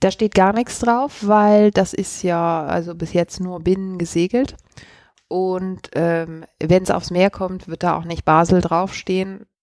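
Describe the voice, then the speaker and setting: Dry and close with no echo, a woman's medium-pitched voice moves at a very slow pace with fairly even intonation. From Germany, Cologne. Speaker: sailor and YouTuber. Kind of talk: casual chat. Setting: at her home.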